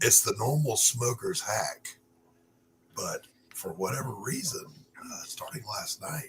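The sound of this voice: A hoarse, put-on character voice at a fairly slow pace, broken by long, frequent pauses. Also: man, fairly high pitch for a man.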